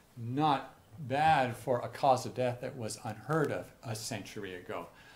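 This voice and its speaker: Audible room echo surrounds a man speaking at medium pitch. His pace is fairly slow, with ordinary pitch variation. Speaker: physician and researcher. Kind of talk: lecture. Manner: halting with repetitions.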